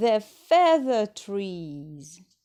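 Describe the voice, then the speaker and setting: A woman performs in a put-on character voice. Her pitch swings very widely. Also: medium pitch for a woman. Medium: read story.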